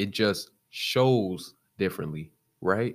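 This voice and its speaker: Very slow pace from a man with a fairly low pitch. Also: very clean recording, silent background. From US Midwest, South Side of Chicago. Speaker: podcaster. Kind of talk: motivational monologue.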